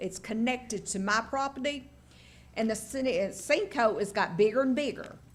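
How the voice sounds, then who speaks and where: With an East Tennessee accent, a woman speaks at a fairly high pitch. Her pace is moderate and her pitch varies in an ordinary way. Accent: Southern US (East Tennessee). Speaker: local resident speaking at public hearing. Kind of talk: public hearing testimony. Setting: county commission meeting at podium.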